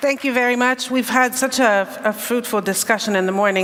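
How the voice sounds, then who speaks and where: A woman's voice with fairly even intonation and noticeable background noise. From Hungary. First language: Hungarian. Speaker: panel chair, civil society advocate. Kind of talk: panel discussion opening remarks.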